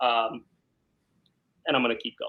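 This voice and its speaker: This is a man speaking. He has a New York accent. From New York, South Brooklyn. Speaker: criminal defense lawyer. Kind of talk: interview.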